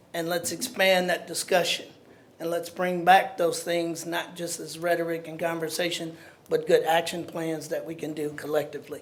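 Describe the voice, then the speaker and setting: Noticeable background noise runs behind speech that keeps a moderate pace. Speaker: preacher speaking at public comment. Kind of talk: public comment at council meeting. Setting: council meeting.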